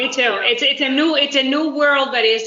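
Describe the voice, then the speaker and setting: A woman speaks with a Spanish accent. Her pitch variation is ordinary. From Uruguay. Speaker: business executive. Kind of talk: interview.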